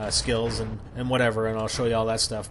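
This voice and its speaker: A man's medium-pitched voice comes with audible room echo and noticeable background noise. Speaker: gaming commentator. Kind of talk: gameplay commentary. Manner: fast; halting.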